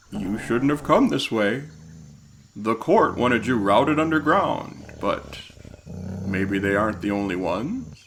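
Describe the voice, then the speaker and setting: At a moderate pace with long, frequent pauses, a man of medium pitch performs a put-on character voice. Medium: audio drama. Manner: cold, menacing.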